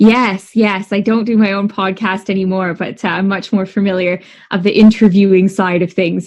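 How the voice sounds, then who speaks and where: A woman with a Canadian accent talks at a moderate pace and medium pitch, her intonation monotone and flat. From Canada. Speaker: dietitian. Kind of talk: podcast interview.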